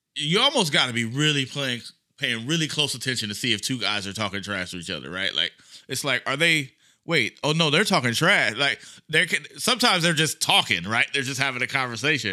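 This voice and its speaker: A man with a medium-pitched voice speaks at a fairly quick pace in an animated, lively way, his bright, sharp tone touched with vocal fry, on a very clean recording with a silent background. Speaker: sports journalist, debate guest. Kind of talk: casual sports debate. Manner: animated, jokey.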